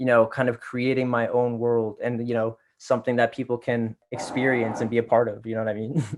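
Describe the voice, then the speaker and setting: Moving at a fairly quick pace, a man speaks with monotone, flat intonation. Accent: Toronto. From Canada, Toronto area (Scarborough, Pickering, Ajax). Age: 20s. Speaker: R&B singer. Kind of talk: interview.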